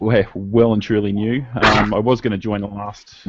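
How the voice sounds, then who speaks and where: A man's fairly low-pitched voice with an Australian accent. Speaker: hobbyist heli pilot. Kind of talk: casual chat.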